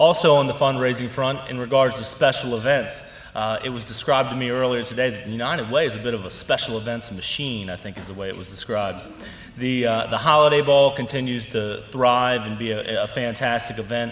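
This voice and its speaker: A man talks at a fairly quick pace with fairly even intonation. There is audible room echo. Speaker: organization leader giving annual report. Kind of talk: formal speech. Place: hall. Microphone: podium.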